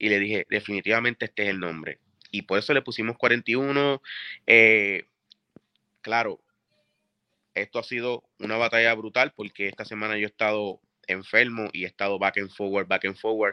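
A man's fairly low voice at a moderate pace, fairly even in intonation, broken by long, frequent pauses. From Puerto Rico (Carolina, Bayamón). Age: 40s. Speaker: music producer. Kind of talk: interview.

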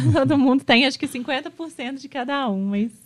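A woman speaks at a high pitch with ordinary pitch variation. Her moderate pace comes through over a quiet background. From Minas Gerais, Juiz de Fora. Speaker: architect. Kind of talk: casual interview.

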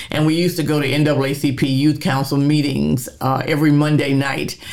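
Audible room echo and noticeable background noise surround the recording. A woman with a very deep, low pitch speaks at a moderate pace. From Oklahoma City, US. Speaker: community activist. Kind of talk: interview storytelling.

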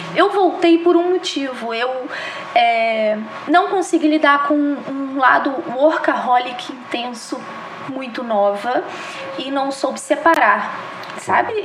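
With noticeable background noise and audible room echo, a woman speaks at a very slow pace with long, frequent pauses, a high pitch and lively intonation. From Brazil, Minas Gerais (Juiz de Fora). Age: 30s. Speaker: retail store manager. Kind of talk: interview podcast.

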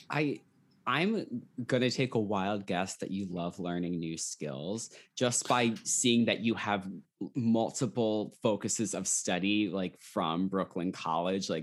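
This man has a normal speaking voice, fairly low in pitch with ordinary pitch variation. He talks at a fairly slow pace on a very clean recording with a silent background. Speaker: podcast host. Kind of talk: interview.

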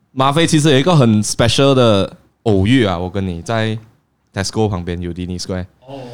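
With a normal speaking voice, a man talks at a fairly quick pace, fairly low in pitch, with lively intonation and big swings in loudness. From Penang, Malaysia. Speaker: YouTuber. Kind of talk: casual chat. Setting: cafe.

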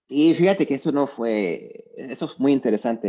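This man has a dark, mellow tone. His intonation is lively. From Mexico, Lagos de Moreno, Jalisco. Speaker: university mentor and speaker. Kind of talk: casual interview. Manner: halting, repeats words and fillers.

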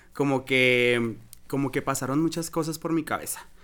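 In a Mexican accent, a man talks at a fairly slow pace with a medium pitch, ordinary pitch variation and a bright, sharp tone, in a very clean recording with a silent background. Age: 20s. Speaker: drag queen. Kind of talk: casual interview, personal story.

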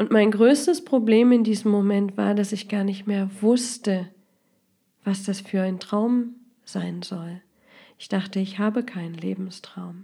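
In a very clean recording with a silent background, a somewhat breathy voice with a dark, mellow tone moves at a fairly slow pace, its intonation fairly even but its loudness swinging widely. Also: woman, medium pitch for a woman. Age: 30s. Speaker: podcast host and life coach. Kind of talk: podcast introduction monologue.

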